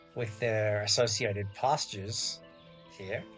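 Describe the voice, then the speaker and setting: Music plays in the background as a man with an Australian accent speaks in a relaxed, calm tone. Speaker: gaming YouTuber. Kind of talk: casual gameplay commentary.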